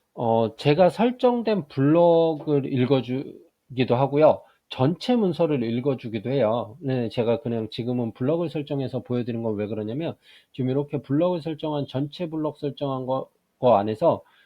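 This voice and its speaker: A man speaks in a plain, everyday voice with a fairly high pitch. His pace is moderate. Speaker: math teacher giving software tutorials. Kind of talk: screen-recorded tutorial.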